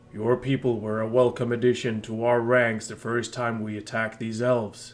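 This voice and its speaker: A man puts on a character voice at a medium pitch. His intonation stays flat and monotone. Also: moderate pace. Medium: read story. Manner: smug, mocking.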